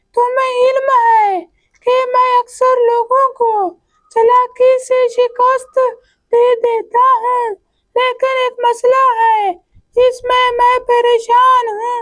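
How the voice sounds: The cartoonish character voice has an extremely high pitch, monotone, flat intonation and a very slow pace.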